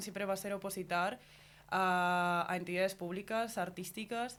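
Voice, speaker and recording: The speaker is a woman with a medium-pitched voice. Her intonation stays monotone and flat. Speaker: master's student. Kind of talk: radio interview.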